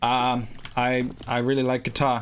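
A man's voice over noticeable background noise. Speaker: gaming streamer. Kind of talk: casual livestream chat while gaming. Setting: livestream, playing online game. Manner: animated, excitable, joking. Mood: joking, self-deprecating. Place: home room. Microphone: headset.

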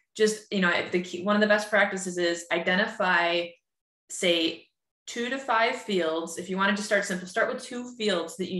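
In a bright, sharp tone, a woman with an American accent talks at a moderate pace with ordinary pitch variation, against a quiet background with audible room echo. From upstate New York. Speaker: user group host, marketing technology consultant; user group host. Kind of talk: webinar presentation. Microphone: webcam.

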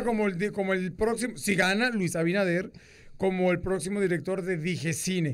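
At a moderate pace, a man talks in a high pitch with ordinary pitch variation and very even loudness. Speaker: radio show host or guest. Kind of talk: radio show banter about entertainment gossip. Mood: joking gossip banter. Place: studio. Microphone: studio mic.

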